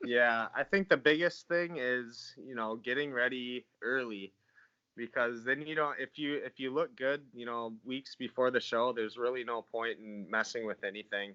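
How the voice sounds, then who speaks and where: A man with an American accent and a medium pitch, with ordinary pitch variation, big swings in loudness, and a dry, close sound with no echo. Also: moderate pace. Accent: sounds kinda Canadian. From northern Minnesota. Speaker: natural bodybuilder. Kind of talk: podcast interview.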